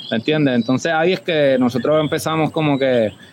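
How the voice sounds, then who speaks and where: A man talks at a fairly quick pace with a fairly high pitch. It is an ordinary speaking voice with fairly even intonation. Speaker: homebrewer and beer judge. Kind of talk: casual chat. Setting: remote call with headphones.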